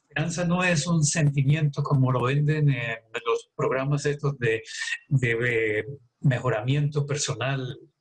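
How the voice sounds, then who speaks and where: Speaking at a fairly slow pace, a man uses a fairly high, somewhat breathy voice with ordinary pitch variation. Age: 70s. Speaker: doctor. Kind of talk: health talk.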